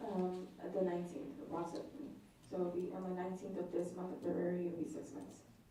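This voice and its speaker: Very fast speech with ordinary pitch variation, over noticeable background noise and audible room echo. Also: woman, fairly low pitch for a woman. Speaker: detention officer, witness. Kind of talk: witness testimony. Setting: courtroom witness stand. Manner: hesitant. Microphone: too far from the mic.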